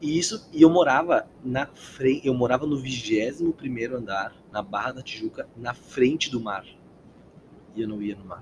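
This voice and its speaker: Somewhat breathy and medium in pitch, a man speaks at a fairly slow pace with long, frequent pauses, big swings in loudness and ordinary pitch variation. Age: 20s. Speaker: actor and pony breeder. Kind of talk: casual interview chat.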